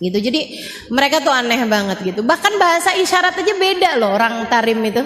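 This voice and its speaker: A high-pitched woman at a fairly quick pace, with very wide pitch swings and noticeable background noise. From Indonesia. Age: 40s. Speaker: Islamic preacher. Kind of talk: religious talk. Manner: casual conversational.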